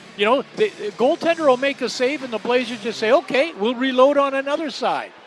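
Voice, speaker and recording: Against noticeable background noise, a man talks at a fairly quick pace in an extremely high voice with ordinary pitch variation. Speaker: hockey color commentator. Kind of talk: live sports color commentary, analytical. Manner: conversational.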